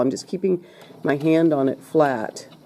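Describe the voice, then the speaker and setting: Against noticeable background noise, a woman speaks at a very deep, low pitch. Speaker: sewing teacher. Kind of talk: tutorial. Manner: casual, step-by-step.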